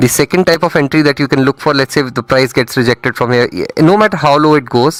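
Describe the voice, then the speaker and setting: A man's medium-pitched voice with an Indian accent, at a fairly quick pace with ordinary pitch variation, dry and close with no echo. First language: not English (Indian language). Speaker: trading mentor. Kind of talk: live trading stream commentary. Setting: live stream. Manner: casual, conversational.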